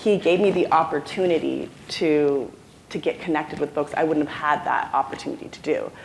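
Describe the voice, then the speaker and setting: A woman at a fairly quick pace with big swings in loudness, over noticeable background noise. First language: non-English. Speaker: alumna panelist. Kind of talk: panel discussion. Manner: halting, many fillers.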